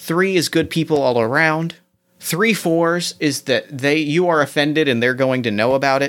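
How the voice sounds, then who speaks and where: On a very clean recording with a silent background, a man with an American accent talks at a moderate pace in a fairly high voice, with ordinary pitch variation and very even loudness. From US Midwest, mid-Ohio. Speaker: podcast host and game master. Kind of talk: actual play role-playing game.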